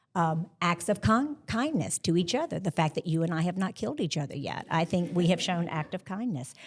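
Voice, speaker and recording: Somewhat breathy, the voice moves at a fairly quick pace with hardly any pauses. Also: woman, fairly low pitch for a woman, lively intonation, very clean recording, silent background. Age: 60s. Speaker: podcast co-host. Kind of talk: live panel conversation. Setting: stage with live audience.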